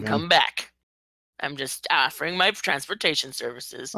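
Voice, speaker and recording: A woman doing a put-on character voice speaks at a moderate pace, raspy and very deep, with very wide pitch swings. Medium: actual play. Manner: formal, courteous.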